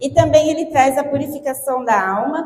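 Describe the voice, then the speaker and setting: Her tone is animated and her pitch is high as this woman speaks at a fairly slow pace. Audible room echo surrounds the voice. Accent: Brazilian. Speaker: lay preacher. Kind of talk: sermon.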